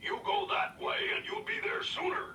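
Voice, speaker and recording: A raspy put-on character voice from a man at a moderate pace, with clear background noise. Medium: read story.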